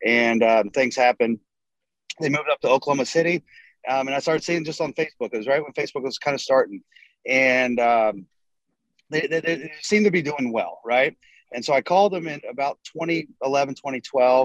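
A man with an ordinary speaking voice and an American accent talks at a fairly quick pace with a fairly high pitch and ordinary pitch variation. The sound is dry and close, with no echo. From North Carolina. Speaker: roofing contractor, company co-founder. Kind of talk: casual interview.

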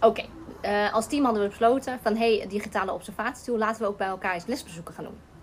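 A woman talks at a very fast pace with fairly even intonation. Noticeable background noise runs underneath. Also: fairly high pitch for a woman. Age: 30s. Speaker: teacher. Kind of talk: casual interview. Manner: halting.

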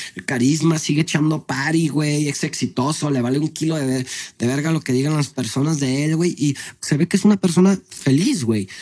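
Speaking at a fairly quick pace, a man uses a fairly high pitch with ordinary variation. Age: 30s. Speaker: restaurant owner and content creator. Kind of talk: casual chat. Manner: animated.

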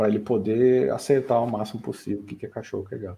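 Fairly quick speech from a man at a medium pitch, somewhat breathy, with a dark, mellow tone. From Brazil, São Paulo state (São Bernardo do Campo). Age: 30s. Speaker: AI specialist, medical physicist. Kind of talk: casual interview chat.

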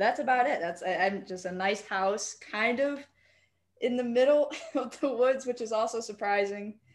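Speaking at a moderate pace, a woman has an unremarkable speaking voice with ordinary pitch variation. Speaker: company executive. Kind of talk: guided visualization.

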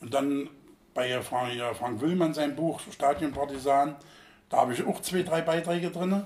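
Over noticeable background noise, a man with a fairly high voice speaks at a fairly slow pace, with ordinary pitch variation and long, frequent pauses. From Thuringia, East Germany. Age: 60s. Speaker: football fan veteran. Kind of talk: interview.

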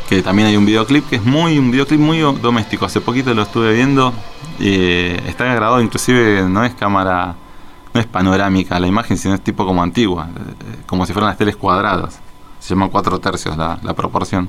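A man with a fairly low pitch talks at a fairly quick pace, using ordinary pitch variation, amid noticeable background noise. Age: 40s. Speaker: radio host. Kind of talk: casual radio show. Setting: radio studio.

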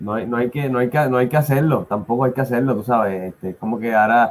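Here a man with a normal speaking voice talks at a medium pitch, with ordinary pitch variation. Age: 30s. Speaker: podcast co-host. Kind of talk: casual chat. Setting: live stream.

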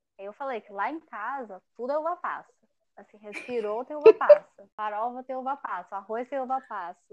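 A woman talks at a moderate pace in a high voice with ordinary pitch variation and big swings in loudness, the sound dry and close with no echo. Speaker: podcast host. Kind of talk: casual chat.

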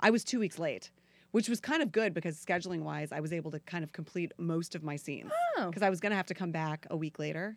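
A woman with an American accent, fairly low in pitch, at a very fast pace with ordinary pitch variation. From Florida. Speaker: actress. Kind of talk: casual chat.

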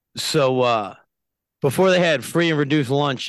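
At a fairly slow pace, a man speaks in a plain, everyday voice with ordinary pitch variation, the sound dry and close with no echo and a quiet background. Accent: American. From New York (Yonkers). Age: 40s. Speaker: business owner. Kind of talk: casual chat.

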